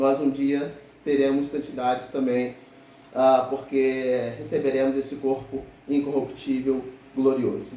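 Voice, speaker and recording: Audible room echo carries a man's medium-pitched voice, flat and monotone, at a fairly slow pace. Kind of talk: sermon.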